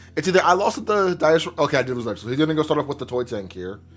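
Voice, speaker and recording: A man with a fairly high pitch and very wide pitch swings, music in the background. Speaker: card game content creator. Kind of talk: gameplay commentary. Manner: casual, animated.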